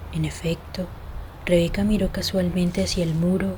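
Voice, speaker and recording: A soft-spoken woman talks at a moderate pace in a room with audible echo and noticeable background noise. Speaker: audiobook narrator. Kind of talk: reading aloud. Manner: whispering.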